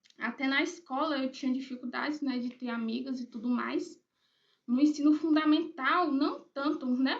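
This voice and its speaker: Her high voice moves at a moderate pace, and this woman keeps her intonation fairly even. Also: big swings in loudness. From Brazil, Bahia (Eunápolis, rural area). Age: 20s. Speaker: writer, YouTuber. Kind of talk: personal vlog introduction. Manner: casual, hesitant with fillers.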